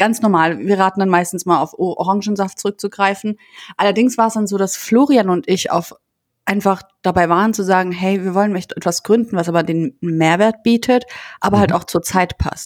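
A woman's unremarkable speaking voice at medium pitch, fairly quick, with ordinary pitch variation and a dry, close sound free of echo. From Landau, Rhineland-Palatinate, Germany. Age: 20s. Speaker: company co-founder. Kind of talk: interview.

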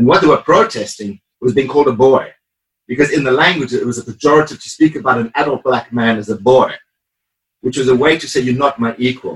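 Somewhat breathy, a man speaks at a very fast pace with medium pitch and ordinary pitch variation. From South Africa. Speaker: artist. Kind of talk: interview.

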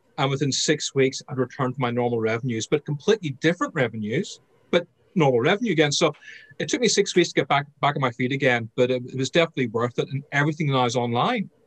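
Somewhat breathy and fairly high in pitch, a man with an Irish accent speaks very fast in a dry, close sound with no echo. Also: ordinary pitch variation. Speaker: sales trainer and author. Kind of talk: interview.

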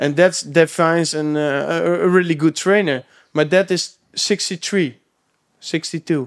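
Recorded very cleanly against a silent background, with a dry, close sound and no echo, a man speaks in a high pitch with fairly even intonation. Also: fairly slow pace. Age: 20s. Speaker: personal trainer. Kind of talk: casual chat. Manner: halting.

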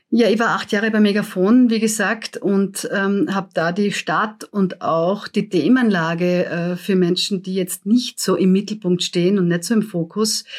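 A woman at medium pitch talks at a fairly slow pace with fairly even intonation on a very clean recording with a silent background. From Austria, Graz (Styria). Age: 50s. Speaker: politician. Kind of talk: interview. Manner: hesitant with fillers.

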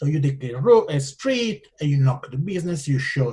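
In an Italian accent, a man with a fairly high pitch talks at a moderate pace, sounding somewhat breathy. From Italian-speaking Switzerland. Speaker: entrepreneur. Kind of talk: interview.

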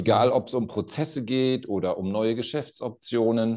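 Medium-pitched male voice with a dark, mellow tone against a quiet background. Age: 50s. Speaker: company CEO. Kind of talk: interview conversation.

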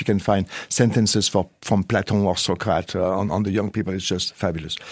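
French accent, man speaking. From France. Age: 50s. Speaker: management consultant and researcher. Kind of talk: interview. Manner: hesitant, repeating words.

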